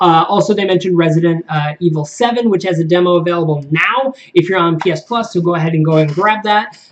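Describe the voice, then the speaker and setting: Noticeable background noise surrounds a man talking at a very fast pace. His voice is high-pitched. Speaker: gaming video host. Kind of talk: casual video commentary. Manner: hesitant fillers.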